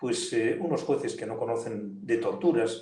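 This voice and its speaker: A man's dark, mellow, somewhat breathy voice with audible room echo. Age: 70s. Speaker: politician and lawyer. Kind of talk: interview. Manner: animated.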